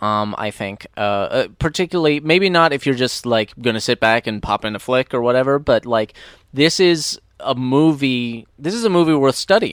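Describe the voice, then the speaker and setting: Medium-pitched male voice with lively intonation at a moderate pace, dry and close with no echo. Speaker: podcast co-host, movie commentator. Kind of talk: casual movie commentary chat. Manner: loud.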